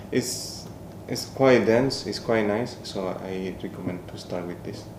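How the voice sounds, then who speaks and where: A man with a Spanish accent speaks at a fairly slow pace in a fairly low pitch, with ordinary pitch variation, audible room echo and noticeable background noise. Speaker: podcast co-host. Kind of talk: casual chat. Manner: halting.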